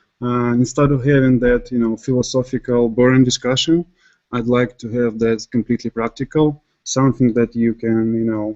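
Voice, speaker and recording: A man with a non-native accent speaks at a moderate pace and a medium pitch, in a monotone, flat intonation. His tone is dark and mellow, with a dry, close sound and no echo. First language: not English. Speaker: software developer. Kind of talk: technical presentation. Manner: halting with many fillers.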